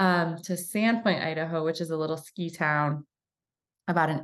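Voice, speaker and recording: In an ordinary speaking voice, a woman with an American accent speaks at a fairly low pitch with fairly even intonation. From Michigan. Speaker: chiropractor and coach. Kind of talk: casual interview chat.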